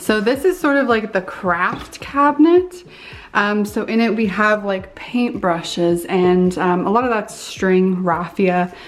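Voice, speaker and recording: A woman speaks fairly slowly, her pitch varying in an ordinary way, while music plays in the background. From Canada. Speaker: lifestyle vlogger. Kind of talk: casual vlog chat. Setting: home studio.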